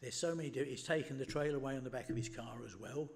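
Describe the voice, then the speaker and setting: Talking at a very fast pace, a man with an English accent has a medium pitch, a somewhat breathy sound and fairly even intonation. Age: 80s+. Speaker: member of the public, retired mechanic. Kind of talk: public representation at meeting.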